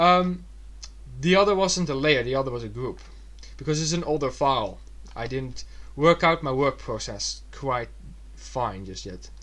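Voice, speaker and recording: A man speaks in a Dutch accent, leaving long, frequent pauses. His loudness swings widely. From Netherlands. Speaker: digital illustrator. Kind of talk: tutorial. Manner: fast; halting.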